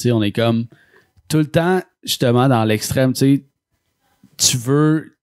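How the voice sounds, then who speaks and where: Against a quiet background, the speech moves at a very slow pace with ordinary pitch variation. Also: man. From Quebec. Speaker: podcast host. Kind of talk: casual chat. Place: studio.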